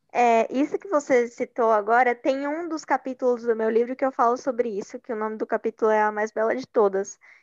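A woman's high-pitched voice with a São Paulo accent, ordinary pitch variation and a fairly quick pace, dry and close with no echo, over a quiet background. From São Paulo, East Zone. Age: 20s. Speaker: journalist and researcher. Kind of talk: interview.

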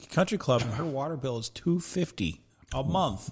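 Somewhat breathy and fairly high in pitch, a man's voice carries lively intonation. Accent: American. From Southern California. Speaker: barbecue enthusiast. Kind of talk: casual chat.

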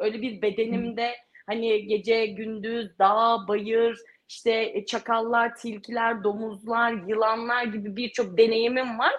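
Speaking at a fairly slow pace, a woman has an ordinary speaking voice. Her pitch is fairly high. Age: 30s. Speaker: ultramarathon runner. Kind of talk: interview.

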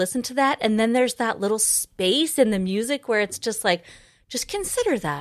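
In an American accent, a woman speaks with lively intonation and a fairly high pitch on a very clean recording with a silent background. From Idaho, US. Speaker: podcast host and pianist. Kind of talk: interview conversation. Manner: animated.

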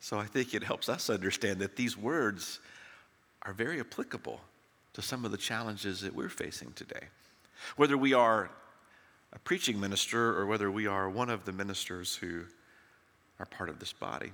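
A man with a Southern US accent talks at a moderate pace, with a fairly low pitch and a bright, sharp tone. His pitch varies in an ordinary way, and he leaves long, frequent pauses. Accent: Southern American. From US South, Tennessee. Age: 60s. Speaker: preacher. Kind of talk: sermon. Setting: church.

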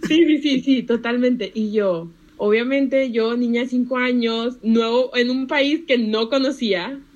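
The speaker is a woman with a high pitch. She talks fairly slowly against a quiet background. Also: ordinary pitch variation. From Panama, moved to Monterrey, Mexico at age five. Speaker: economics student. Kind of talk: casual chat.

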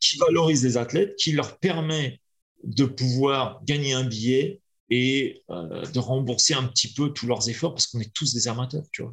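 There's a man speaking at medium pitch. He is somewhat breathy and talks at a fairly slow pace. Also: ordinary pitch variation. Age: 40s. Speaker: kettlebell athlete. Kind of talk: casual chat.

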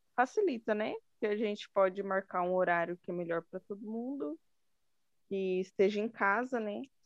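A woman is speaking at a medium pitch. Her pitch variation is ordinary. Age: 20s. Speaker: physiotherapy student, club secretary. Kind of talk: casual chat.

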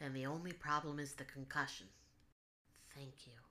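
Quiet, husky put-on character voice at a low-to-middle pitch and a moderate pace. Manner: quiet, polite, worried.

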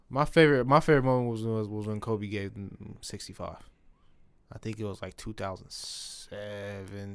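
A man talks at a moderate pace in a plain, everyday voice, fairly low in pitch with ordinary pitch variation. His loudness swings widely. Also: very clean recording, silent background. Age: 20s. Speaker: podcast co-host. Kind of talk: casual chat.

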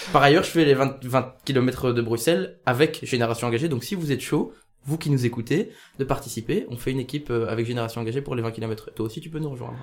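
A man's voice races along at a very fast pace, sitting at a medium pitch and moving up and down in an ordinary way. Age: 20s. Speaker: podcast host and youth political organizer. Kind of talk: casual chat. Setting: café.

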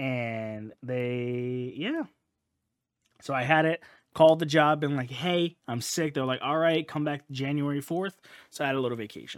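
A man with an ordinary speaking voice talks at a moderate pace, his pitch fairly high and varying in an ordinary way. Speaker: podcast host. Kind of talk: casual chat.

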